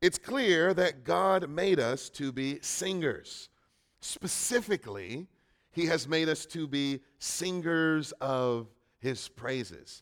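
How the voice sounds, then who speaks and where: Very slowly, a man with a fairly high voice speaks with lively intonation. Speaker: preacher. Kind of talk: sermon. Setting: church. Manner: loud.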